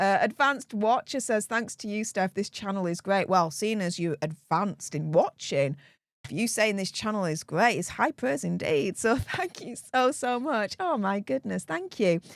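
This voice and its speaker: A woman speaks in an animated tone with lively intonation, the sound dry and close with no echo. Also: medium pitch for a woman, moderate pace. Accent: Yorkshire. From Yorkshire, northern England. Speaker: political commentary YouTuber. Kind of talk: live stream chat. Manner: loud.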